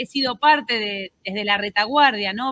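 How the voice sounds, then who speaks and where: At a moderate pace, a woman speaks. Her pitch is fairly high. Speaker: conference moderator, association president. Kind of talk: moderated conference introduction. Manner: hesitant, many fillers.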